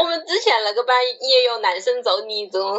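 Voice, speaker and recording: Lively intonation against noticeable background noise. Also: woman. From China, Wuhan. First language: Wuhan dialect (speaking Chinese). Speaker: podcast co-host. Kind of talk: casual chat.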